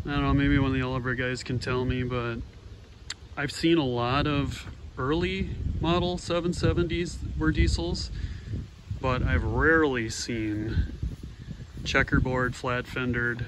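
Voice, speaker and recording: A man at a medium pitch with lively intonation, long, frequent pauses and audible room echo. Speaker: tractor collector video host. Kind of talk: casual walkaround narration. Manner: fast.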